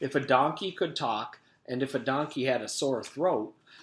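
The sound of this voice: The speaker uses an unforced reading voice. Nothing else stands out.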